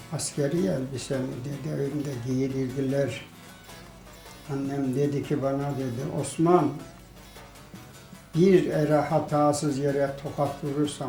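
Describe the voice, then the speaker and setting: Music plays behind a man speaking at a very slow pace. His pitch is fairly high and his intonation fairly even. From Kayseri, Turkey. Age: 70s. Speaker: villager. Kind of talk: interview answer.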